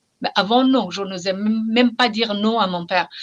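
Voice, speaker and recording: A woman with an Iranian accent, fairly high pitch, ordinary pitch variation and a moderate pace. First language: Persian (speaking French). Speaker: novelist. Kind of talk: interview. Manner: halting, repeats words.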